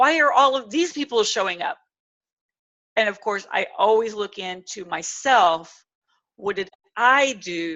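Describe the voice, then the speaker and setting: A woman's medium-pitched, animated voice at a fairly slow pace, with very wide pitch swings, big swings in loudness and long, frequent pauses. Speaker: public speaking coach. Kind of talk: webinar presentation.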